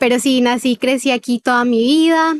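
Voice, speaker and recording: A woman's high-pitched voice at a fairly slow pace, with ordinary pitch variation, in dry, close sound with no echo. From Colombia, Cartagena (Caribbean coast). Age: 20s. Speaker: former feminist sharing testimony, musician. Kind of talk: testimony interview.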